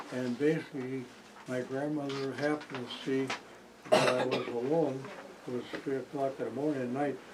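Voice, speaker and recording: A man with an American accent talks at a medium pitch in a monotone, flat intonation. Noticeable background noise and audible room echo surround him. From Wisconsin. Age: 90s. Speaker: local elder interviewee. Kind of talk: oral history interview.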